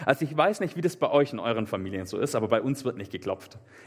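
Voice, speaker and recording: Very wide pitch swings and an animated tone at a fairly quick pace, over noticeable background noise. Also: man. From southern Germany, Swabian Alb (Meßstetten). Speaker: preacher. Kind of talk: sermon. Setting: live church service, also livestreamed.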